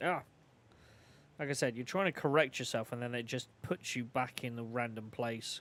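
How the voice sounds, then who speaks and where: On a very clean recording with a silent background, a man with an English accent speaks at a moderate pace and medium pitch with ordinary pitch variation. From England. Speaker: video game streamer. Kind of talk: casual gaming livestream commentary. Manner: animated.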